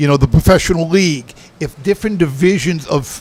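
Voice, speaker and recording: A man's high-pitched voice in a New England accent, with fairly even intonation. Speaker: guest. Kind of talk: casual chat.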